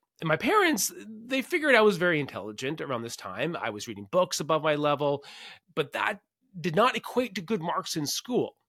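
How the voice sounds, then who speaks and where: In a very clean recording with a silent background, a man with a Canadian accent uses a bright, sharp, fairly high voice with vocal fry and very wide pitch swings. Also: fairly quick pace. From Canada. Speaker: podcast host, science fair nonprofit leader. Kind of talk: solo podcast monologue.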